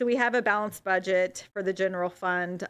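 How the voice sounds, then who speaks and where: An American accent from a woman at medium pitch, with ordinary pitch variation and a fairly quick pace over a quiet background. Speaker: city auditor. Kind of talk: budget presentation. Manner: fast.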